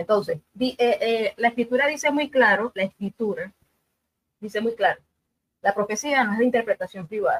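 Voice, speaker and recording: Her fairly high voice rises and falls in a lively way, and the sound is dry and close with no echo. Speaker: debate panelist. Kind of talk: religious debate. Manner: fast.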